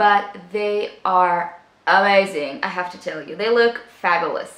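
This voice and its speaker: With an upbeat tone and ordinary pitch variation, a woman speaks at a fairly slow pace in audible room echo. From Israel. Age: 20s. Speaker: beauty vlogger. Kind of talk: casual talk to camera. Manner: upbeat, chatty. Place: home room.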